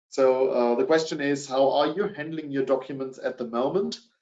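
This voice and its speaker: Speaking at a moderate pace, a man with a German accent has a medium-pitched voice. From Germany. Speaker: sales director. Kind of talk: webinar presentation. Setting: online webinar. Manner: hesitant with many fillers.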